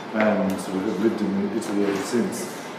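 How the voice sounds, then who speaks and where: Recorded with audible room echo and noticeable background noise, a man speaks at a fairly low pitch. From Australia. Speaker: photographer. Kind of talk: artist talk. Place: hall. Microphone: camera far.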